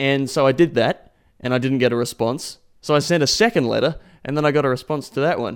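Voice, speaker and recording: Very fast male speech at a fairly high pitch with an Australian accent and ordinary pitch variation. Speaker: podcast host. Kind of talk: podcast narration.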